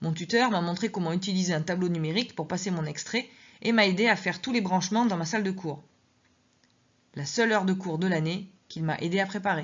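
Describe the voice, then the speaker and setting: Somewhat breathy, a woman talks at medium pitch and a fairly quick pace with ordinary pitch variation. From southwest France. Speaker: teacher reading her memoir. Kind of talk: reading aloud.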